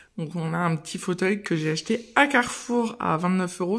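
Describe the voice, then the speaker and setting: Against a quiet background, a woman speaks at a fairly slow pace in an ordinary speaking voice with lively intonation. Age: 30s. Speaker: mother of three, lifestyle vlogger. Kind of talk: casual house tour talk to camera. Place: home room. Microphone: phone near.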